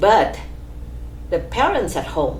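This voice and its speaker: A woman speaks at a fairly slow pace with a Vietnamese accent, with noticeable background noise and audible room echo. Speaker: immigrant pharmacist, oral history interviewee. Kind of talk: oral history interview. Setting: office. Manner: halting, many fillers.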